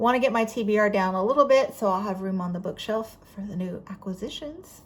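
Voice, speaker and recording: Her pitch is medium and varies in an ordinary way. The woman speaks with a Southern US accent. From Florida, US South. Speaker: book vlogger. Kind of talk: casual chat.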